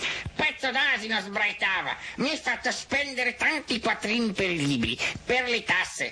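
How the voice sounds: Reading done in a natural voice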